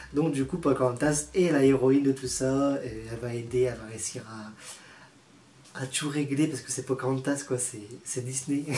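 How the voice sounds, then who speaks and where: Big swings in loudness mark this man's medium-pitched voice, though his intonation stays fairly even. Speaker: YouTuber. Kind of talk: casual vlog ranking. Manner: fast.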